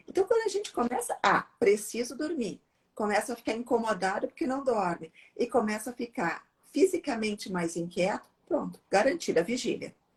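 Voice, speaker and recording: A woman talks at a moderate pace in a fairly high pitch, her voice making very wide pitch swings. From southern Brazil, Porto Alegre. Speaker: psychiatrist. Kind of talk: live Q&A conversation. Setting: Instagram live video.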